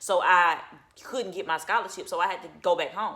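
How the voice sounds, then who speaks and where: A woman speaks at a fairly quick pace in an animated, bright and sharp tone. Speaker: channel owner sharing personal testimony. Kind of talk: testimony. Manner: fast.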